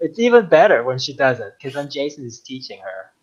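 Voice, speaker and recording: Here a man speaks at a moderate pace. He has a non-native accent. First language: not English. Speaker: podcast guest, longtime listener and toy collector. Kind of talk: casual chat. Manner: halting, many fillers.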